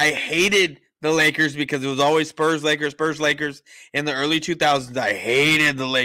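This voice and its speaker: A man with an American accent, fairly high in pitch, bright and sharp in tone, fairly even in intonation, at a moderate pace over a quiet background. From San Antonio, Texas; Texas. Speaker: sports podcast host. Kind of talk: casual chat. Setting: remote call from home kitchen. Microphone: studio mic.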